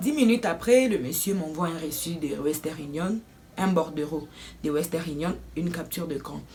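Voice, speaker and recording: Noticeable background noise surrounds a woman with a fairly low pitch. She talks at a moderate pace with ordinary pitch variation. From Democratic Republic of the Congo. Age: 20s. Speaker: student / vlogger. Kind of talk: casual story time to camera.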